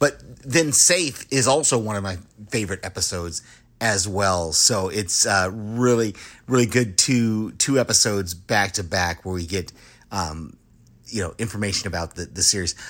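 A man's fairly low voice in an American accent, a plain, everyday voice with ordinary pitch variation at a moderate pace. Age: 50s. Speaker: listener and retired air force veteran. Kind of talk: voicemail.

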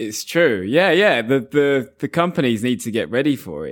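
The voice swings very widely in pitch, with vocal fry, at a moderate pace. The recording is very clean, with a silent background. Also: man. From England. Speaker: English teacher, podcast co-host. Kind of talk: casual chat, English lesson podcast. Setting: at home.

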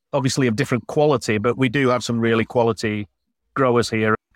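Speaking at a very fast pace with a Yorkshire accent, a man is heard in a very clean, dry, close recording with a silent background and no echo. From northern England, Yorkshire. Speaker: glamping business owner. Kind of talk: casual interview chat.

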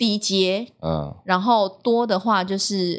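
On a very clean recording with a silent background, a woman speaks at medium pitch with fairly even intonation. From Taiwan, Tainan. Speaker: TV news anchor and former reporter. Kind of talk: casual interview chat.

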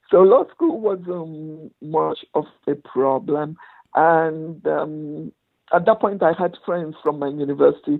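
Speaking very slowly in a very deep, low voice, a woman with a Nigerian accent shows ordinary pitch variation. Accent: Nigerian Igbo English. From Nigeria, Igbo village. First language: Igbo. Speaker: lawyer and motivational speaker. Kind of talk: interview storytelling.

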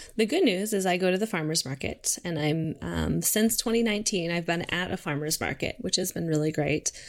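A normal speaking voice from a woman with an American accent, fairly low in pitch with ordinary variation, at a fairly quick pace with hardly any pauses. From Minnesota, St. Cloud. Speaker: dog treat bakery founder. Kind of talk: casual interview chat.

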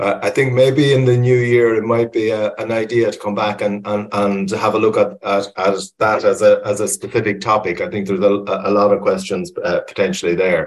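A man with an Irish accent at a fairly quick pace, with hardly any pauses. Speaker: webinar moderator, environmental advisor. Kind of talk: moderated webinar discussion. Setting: online webinar. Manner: hesitant, many fillers and repetitions.

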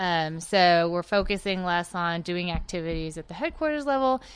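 A woman's fairly low-pitched, unremarkable speaking voice at a moderate pace against a quiet background. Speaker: army veteran. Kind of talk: interview. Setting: studio.

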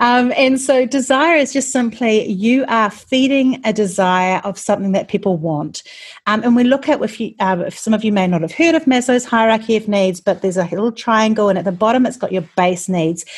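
Somewhat breathy and fairly high in pitch, a woman with a New Zealand accent talks at a fairly quick pace with lively intonation and hardly any pauses. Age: 40s. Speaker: marketing podcast host. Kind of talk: solo podcast teaching talk.

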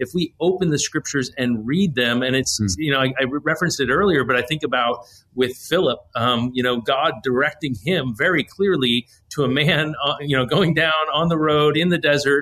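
A man with a normal speaking voice talks fairly quickly at a fairly high pitch, with ordinary pitch variation and very even loudness. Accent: American. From US Northeast, New Jersey. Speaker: pastor. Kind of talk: casual discussion of scripture.

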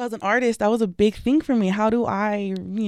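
In a very clean recording with a silent background, a woman uses an unremarkable speaking voice at a moderate pace with fairly even intonation. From Tucson, Arizona. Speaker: public speaker and artist. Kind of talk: interview.

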